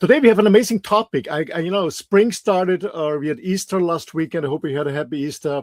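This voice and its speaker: With an Austrian accent, a man talks at a very fast pace and with lively intonation, the sound dry and close with no echo. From Austria, mountains. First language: German. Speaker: health show co-host. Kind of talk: casual interview chat. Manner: halting, many repeats and fillers.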